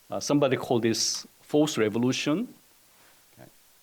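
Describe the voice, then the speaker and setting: A man with a Korean accent speaks at a moderate pace. His pitch is medium. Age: 60s. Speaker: economics professor. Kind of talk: presentation. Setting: webinar. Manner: halting, many fillers.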